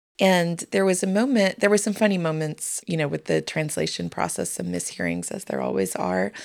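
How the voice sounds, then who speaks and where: Hardly pausing, a woman keeps up a fairly quick pace. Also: very clean recording, silent background. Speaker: podcast host. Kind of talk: interview conversation.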